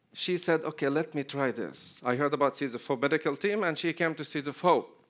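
In a very clean recording with a silent background, a man speaks at a fairly high pitch with an Arabic accent and fairly even intonation. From Palestine, Jericho. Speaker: ministry leader. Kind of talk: church talk.

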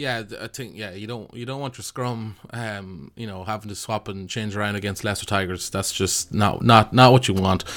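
Speaking with an Irish accent, a man uses a fairly low pitch and fairly even intonation at a moderate pace, with hardly any pauses and big swings in loudness. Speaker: podcast host. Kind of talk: casual chat.

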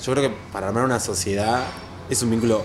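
Against noticeable background noise, a man at a medium pitch speaks with fairly even intonation. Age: 40s. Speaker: architect. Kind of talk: casual interview chat. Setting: café patio.

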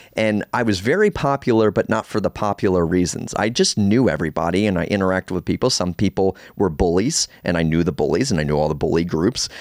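A man's very deep, low voice at a very fast pace, with very even loudness, hardly any pauses, ordinary pitch variation and a dry, close sound with no echo. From US Northeast, Baltimore. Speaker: astrologer and podcast host. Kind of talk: solo podcast monologue. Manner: casual, conversational with fillers.

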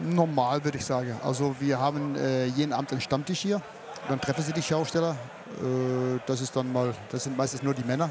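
A man speaks at a fairly quick pace with a Dutch accent and a medium pitch. His intonation stays fairly even over noticeable background noise. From Netherlands. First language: Dutch (speaking German). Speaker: fairground showman. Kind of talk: casual chat. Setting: outdoors at a fair.

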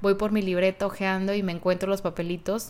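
Speaking at a moderate pace, a woman holds a medium pitch in a monotone, flat delivery. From Mexico, Guadalajara, Jalisco. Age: 30s. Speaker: podcast host. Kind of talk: solo podcast monologue.

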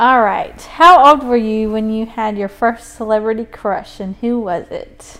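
A woman speaks at a fairly slow pace with hardly any pauses, in an unremarkable speaking voice. Her pitch sits fairly high with ordinary variation, and her loudness swings widely. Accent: American. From South Carolina. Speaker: podcast co-host. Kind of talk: casual chat.

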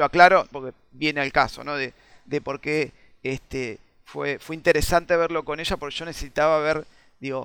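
At a moderate pace, a man talks in a fairly high pitch with monotone, flat intonation, a bright, sharp tone and a dry, close sound with no echo. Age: 40s. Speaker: video game design teacher. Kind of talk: casual chat.

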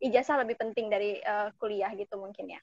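The background is quiet behind a woman's voice. The sound is dry and close, with no echo. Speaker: nursing student, alumna. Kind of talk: casual chat.

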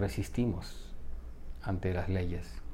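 At a fairly slow pace, a man talks in a calm, dark and mellow tone with ordinary pitch variation. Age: 40s. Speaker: coach and psychotherapist. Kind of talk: spiritual reflection monologue. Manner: calm, reflective.

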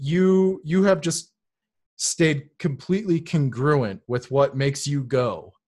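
Set against a quiet background, a man speaks at a fairly high pitch with lively intonation. His voice is somewhat breathy. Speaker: podcast host. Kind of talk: casual interview chat. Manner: upbeat, enthusiastic.

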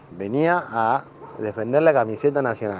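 Speaking at a moderate pace, the man has a medium pitch, with noticeable background noise behind him. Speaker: football fan. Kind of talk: recorded testimony.

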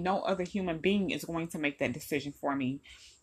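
With a plain, everyday voice, a woman speaks at a fairly quick pace with lively intonation against a quiet background. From Detroit, Michigan. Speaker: political podcaster. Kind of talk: solo political commentary. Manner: casual, conversational.

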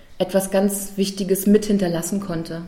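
Somewhat breathy, a woman speaks at medium pitch in a dark, mellow tone. Her intonation is monotone and flat, and her pace is moderate. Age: 30s. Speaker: university student representative. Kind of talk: interview.

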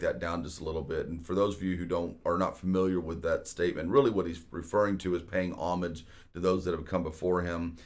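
A man's very deep, low voice in an American accent, very fast in pace, with fairly even intonation. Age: 40s. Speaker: real estate agent and podcast host. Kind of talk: casual solo podcast monologue.

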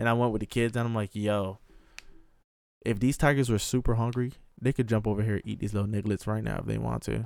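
A man's fairly low, monotone voice with flat intonation at a very fast pace. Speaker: podcast host. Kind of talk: casual chat. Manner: loud, casual, profane.

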